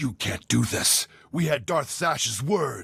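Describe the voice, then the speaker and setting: A man puts on a growling character voice, fairly high in pitch, at a fairly slow pace. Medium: video game.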